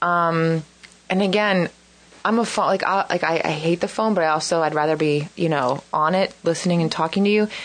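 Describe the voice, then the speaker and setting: An ordinary speaking voice, a woman at a fairly low pitch, fairly even intonation and a fairly quick pace. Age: 40s. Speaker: dating show contestant. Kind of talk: casual chat.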